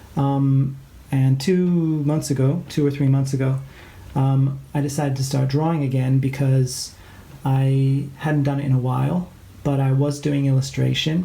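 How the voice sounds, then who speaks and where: A man with a slight Canadian accent speaks at a moderate pace in a fairly high pitch, his intonation flat and monotone, his loudness very even, with audible room echo. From England and Canada. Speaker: art teacher. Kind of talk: tutorial. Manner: hesitant, many fillers.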